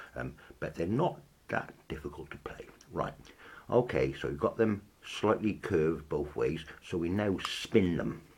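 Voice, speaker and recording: The speaker talks at a fairly slow pace with lively intonation and vocal fry. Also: man, very deep, low pitch for a man. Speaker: instrument maker. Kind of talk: tutorial. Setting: filmed on camera with slight delay. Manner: deliberately slow; hesitant, many ums.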